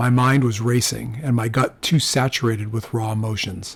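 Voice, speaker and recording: A man speaks at a moderate pace in a medium pitch. His voice is somewhat breathy, with fairly even intonation. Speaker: audiobook narrator. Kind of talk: audiobook narration, first-person crime fiction.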